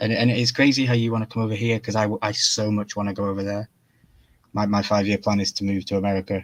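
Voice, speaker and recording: Speaking at a very fast pace, a man with a British accent keeps a flat, monotone intonation at a fairly low pitch. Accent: UK. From Wales. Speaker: YouTube collector guest. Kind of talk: casual chat.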